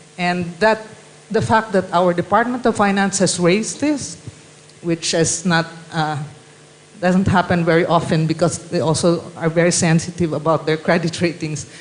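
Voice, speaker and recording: Moderate pace against noticeable background noise. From Philippines. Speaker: panelist. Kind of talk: panel discussion. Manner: halting.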